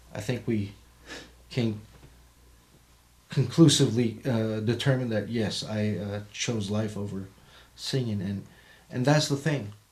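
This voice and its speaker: The speaker goes at a fairly slow pace with ordinary pitch variation, long and frequent pauses, and a somewhat breathy quality, with audible room echo. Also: man, medium pitch for a man. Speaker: podcast co-host discussing the Bible; Marine veteran. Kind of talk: casual Bible study discussion.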